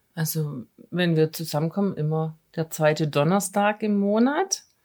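A woman's fairly low-pitched voice, dark and mellow in tone, at a fairly slow pace. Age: 50s. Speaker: city administration employee, post-covid patient. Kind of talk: casual interview.

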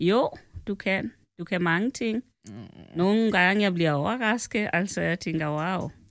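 A woman talks at a fairly slow pace with lively intonation and a medium pitch. The recording is very clean, with a silent background. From Kenya. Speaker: host's mother. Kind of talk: casual chat. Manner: formal.

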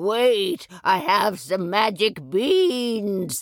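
A female-sounding voice puts on a character voice. The pitch sits fairly high. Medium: read story.

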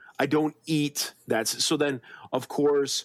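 A man talks at a fairly slow pace in an ordinary speaking voice of medium pitch. The sound is dry and close with no echo, on a very clean recording with a silent background. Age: 40s. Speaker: podcast co-host. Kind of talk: casual chat. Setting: video recording.

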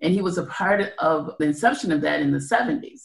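With an American accent, a woman speaks with vocal fry. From Evanston, Illinois, US Midwest. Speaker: community advocate. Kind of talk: interview.

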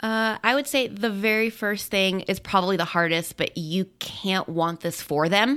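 On a very clean recording with a silent background, a woman in a normal speaking voice talks at a moderate pace with medium pitch, ordinary pitch variation, and very even loudness. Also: hardly any pauses. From Colorado. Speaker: guest's wife. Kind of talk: testimony.

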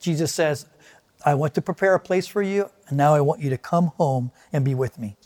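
The recording of this man sounds dry and close, with no echo. He speaks at a moderate pace with ordinary pitch variation. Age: 60s. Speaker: pastor. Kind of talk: sermon. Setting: online video service.

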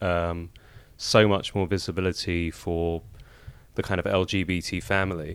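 Recorded very cleanly against a silent background, a man with a London accent speaks in a very deep, low voice. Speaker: podcast guest. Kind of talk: interview.

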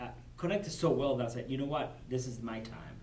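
With a Cuban accent, a man speaks at a fairly quick pace. His pitch sits in the medium range. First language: Spanish. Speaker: corporate supplier diversity director. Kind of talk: interview. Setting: at a business convention.

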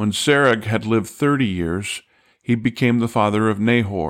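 A man with a normal speaking voice, fairly low in pitch with ordinary pitch variation, at a moderate pace, in a very clean recording with a silent background. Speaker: Bible teacher and podcast host. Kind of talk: scripture reading aloud, steady and solemn, then plain teaching commentary. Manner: measured, even-paced, formal reading cadence; clear, calm, instructive.

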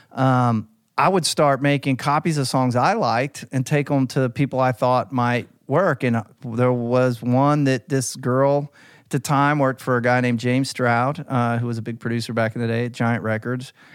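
A man speaks with an American accent at a moderate pace and medium pitch, with ordinary pitch variation, in a normal speaking voice. The recording is very clean with a silent background. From US South (Alabama, Tennessee). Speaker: music publisher. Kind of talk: casual chat.

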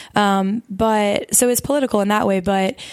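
In a Southern US accent, a woman speaks with fairly even intonation in a dry, close sound with no echo. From US South, Mobile, Alabama. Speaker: campus ministry worker and co-host. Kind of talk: casual chat.

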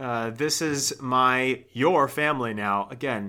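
A man speaks in a bright, sharp tone on a very clean recording with a silent background. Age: 20s. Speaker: comedy podcast host. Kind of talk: casual chat.

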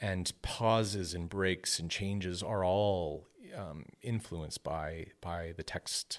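The speaker has a Canadian accent. The pace is very slow and the intonation fairly even. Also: man, very deep, low pitch for a man, very clean recording, silent background. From Ontario, Canada. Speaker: composer. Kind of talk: interview. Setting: studio.

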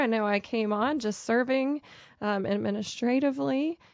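A woman's plain, everyday voice, fairly high in pitch, with ordinary pitch variation at a fairly quick pace. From Pennsylvania, Pittsburgh area. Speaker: charity program director. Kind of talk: interview.

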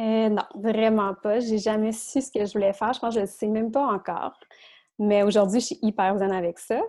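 Against a quiet background, a woman speaks with a fairly high pitch. Her tone is dark and mellow, and her intonation fairly even. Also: moderate pace. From Quebec. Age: 30s. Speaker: self-employed podcast guest. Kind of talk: casual interview.

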